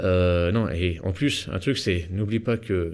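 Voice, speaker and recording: Speaking very slowly, a man uses a fairly low voice. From eastern France (Nancy). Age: 30s. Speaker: real estate investor and business coach. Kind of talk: podcast interview. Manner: casual, informal.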